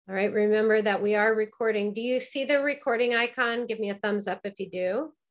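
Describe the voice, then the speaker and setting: Against a quiet background, a woman with an unremarkable speaking voice talks at a fairly high pitch and fairly quick pace, with fairly even intonation and hardly any pauses. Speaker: burlesque teacher. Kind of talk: online presentation with Q&A. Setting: video call. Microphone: video call.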